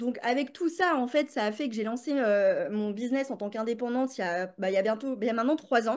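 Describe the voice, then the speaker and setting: A woman's high-pitched voice at a fairly quick pace over a quiet background. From France, Paris. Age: 30s. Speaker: business coach and author. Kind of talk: podcast interview. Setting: recorded in London. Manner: casual, many fillers.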